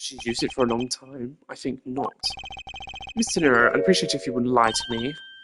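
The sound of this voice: A woman's put-on character voice, extremely low in pitch yet fairly bright, with a slightly husky edge, ordinary pitch variation and a fairly quick pace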